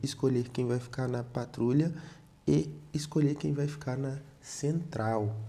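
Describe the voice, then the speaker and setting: Soft-spoken and somewhat breathy, a man talks at a fairly slow pace in a medium pitch. His tone is dark and mellow, with ordinary pitch variation. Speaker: math teacher. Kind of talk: tutorial.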